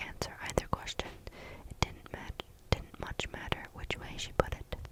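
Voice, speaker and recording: With noticeable background noise around, a whispering voice moves at a fairly slow pace. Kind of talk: storybook reading. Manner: soft-spoken.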